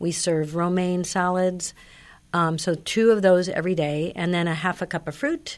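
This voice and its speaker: Recorded very cleanly against a silent background, a woman speaks in a plain, everyday voice, fairly low in pitch, at a moderate pace with fairly even intonation. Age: 60s. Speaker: senior nutrition program nutritionist. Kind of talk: radio interview. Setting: studio.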